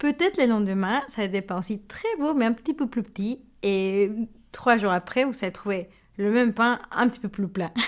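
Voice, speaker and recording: A woman with a Mexican accent at a moderate pace, ordinary pitch variation, and a very clean recording with a silent background. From Mexico. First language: Spanish (speaking French). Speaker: baker. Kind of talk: interview. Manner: hesitant, with fillers.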